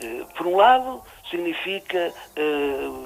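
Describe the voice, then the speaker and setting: With noticeable background noise, a man speaks at a high pitch in a Trás-os-Montes accent. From Trás-os-Montes, Portugal (near Chaves). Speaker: writer. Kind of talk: radio interview. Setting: radio show. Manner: halting, many repetitions and fillers.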